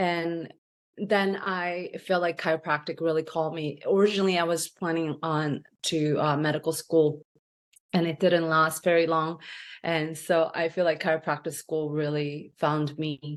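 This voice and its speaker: Speaking with a Korean accent, a woman uses a very deep, low pitch and a monotone, flat intonation. Her pace is moderate, and the background is quiet. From South Korea, moved to US at 14. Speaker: chiropractor. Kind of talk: interview. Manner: halting, many fillers.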